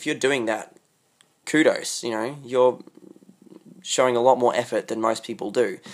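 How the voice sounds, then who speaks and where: A moderately paced speaker with an Australian accent, long and frequent pauses, and a very clean recording against a silent background. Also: man. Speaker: podcast host. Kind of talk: solo monologue. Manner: hesitant, many fillers.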